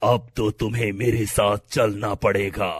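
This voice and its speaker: A man puts on a raspy, cartoonish character voice. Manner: stern, authoritative.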